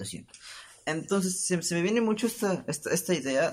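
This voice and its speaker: A somewhat breathy male voice at a fairly quick pace. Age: 20s. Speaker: podcast host. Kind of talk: casual solo monologue. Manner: animated.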